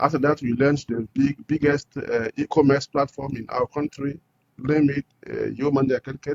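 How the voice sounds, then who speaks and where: A man's fairly high, monotone voice with a Burkinabe accent, flat in intonation, at a fairly quick pace. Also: dry, close sound with no echo. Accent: Burkinabè French-accented English. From Burkina Faso. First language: French. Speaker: entrepreneur. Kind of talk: interview. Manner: halting.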